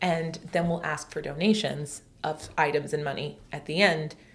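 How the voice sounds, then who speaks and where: There is noticeable background noise behind the speaker. A woman talks at a fairly low pitch with ordinary pitch variation. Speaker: homeschool co-op organizer and podcast co-host. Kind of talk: casual chat. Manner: loud; animated.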